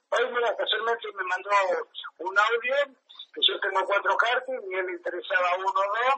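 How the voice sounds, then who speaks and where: A man speaks with ordinary pitch variation. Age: 70s. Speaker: amateur racing driver. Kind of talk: casual interview.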